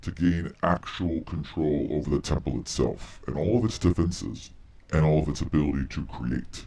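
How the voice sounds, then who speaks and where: A man puts on a character voice, talking at a moderate pace. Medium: actual play. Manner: measured, authoritative.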